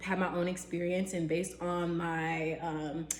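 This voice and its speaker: A woman at a medium pitch speaks in a room with audible echo and noticeable background noise. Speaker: real estate agent. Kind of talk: tutorial. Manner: casual with fillers.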